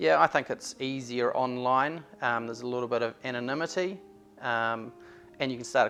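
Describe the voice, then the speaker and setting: A man speaks at a fairly quick pace. Background music plays behind his voice. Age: 50s. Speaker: real estate agent. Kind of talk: interview.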